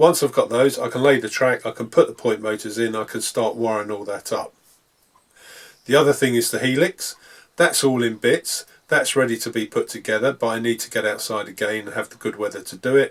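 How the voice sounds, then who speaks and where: Speaking with a British accent at a fairly quick pace, a man lets his loudness swing widely. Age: 60s. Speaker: model railway hobbyist. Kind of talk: hobby tutorial. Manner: hesitant, frequent ums.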